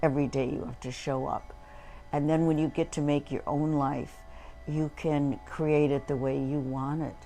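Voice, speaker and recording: A woman with a very deep, low voice talks at a moderate pace and with fairly even intonation while music plays in the background. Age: 80s+. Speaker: retired psychologist. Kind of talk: casual chat. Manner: halting.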